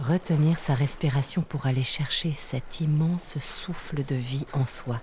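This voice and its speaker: A woman speaks at a very slow pace in a calm tone. Her pitch is very deep and low, and her intonation stays fairly even. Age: 40s. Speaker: lawyer and author telling her near-death experience. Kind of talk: literary first-person narration of her near-death experience, with a testimony tone. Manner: slow, calm, dreamy, sensory, hushed storytelling.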